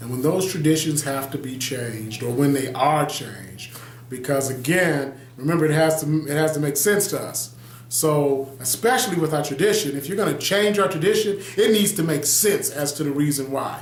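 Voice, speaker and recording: There is noticeable background noise and audible room echo as a man with an American accent talks at a moderate pace, his fairly high pitch showing ordinary variation. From US Midwest, Detroit, Michigan. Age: 40s. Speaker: pastor and video blogger. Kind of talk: casual video monologue.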